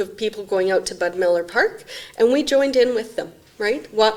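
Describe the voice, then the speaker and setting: Noticeable background noise runs under the recording. A woman talks at a moderate pace with a Canadian accent. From Saskatchewan/Alberta border, Canada. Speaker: executive director of a mental health non-profit. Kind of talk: interview.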